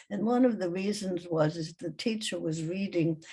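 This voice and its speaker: Somewhat breathy, a woman speaks at a fairly low pitch with ordinary pitch variation. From Germany. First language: German. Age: 90s. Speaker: Holocaust survivor and former teacher. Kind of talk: testimony. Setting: video call.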